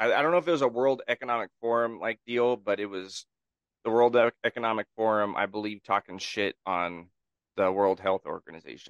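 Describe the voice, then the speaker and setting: A man with an American accent and an unremarkable speaking voice talks at a fairly quick pace and medium pitch with ordinary pitch variation, in a dry, close sound with no echo against a quiet background. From Northern California. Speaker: podcast co-host. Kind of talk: casual chat. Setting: video call.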